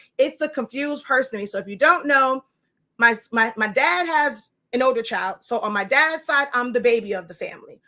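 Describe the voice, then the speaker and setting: In a raised, projected voice with a bright, sharp tone, a woman speaks at a high pitch and fairly quick pace with ordinary pitch variation, on a very clean recording with a silent background. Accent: New York. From New York. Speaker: sublimation printing teacher and livestreamer. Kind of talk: live stream Q&A. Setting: live video. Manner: loud.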